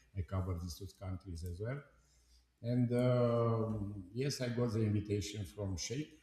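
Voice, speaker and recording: A man's somewhat breathy voice carries a dark, mellow tone at a fairly low pitch. He keeps a moderate pace with ordinary pitch variation. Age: 70s. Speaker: company board chairman. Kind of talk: live stream discussion. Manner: halting.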